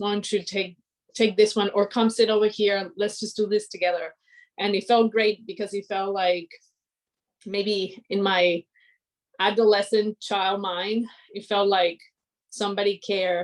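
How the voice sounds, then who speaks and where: The delivery comes at a fairly slow pace with long, frequent pauses. Its intonation is monotone and flat. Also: woman, medium pitch for a woman. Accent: Spanish. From Colombia (Cali). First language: Spanish. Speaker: aerospace engineer. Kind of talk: inspirational talk.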